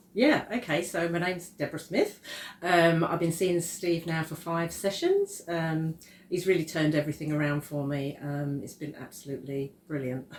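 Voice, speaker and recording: Fairly low in pitch, a woman speaks at a moderate pace. Her intonation stays fairly even. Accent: Essex. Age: 60s. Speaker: client giving a testimonial. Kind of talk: testimony interview.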